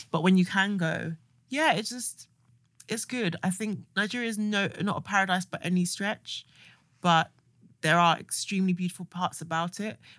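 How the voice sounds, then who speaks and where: On a very clean recording with a silent background, a woman with a medium pitch, an ordinary speaking voice, ordinary pitch variation and a moderate pace. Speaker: podcast co-host. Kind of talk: casual chat.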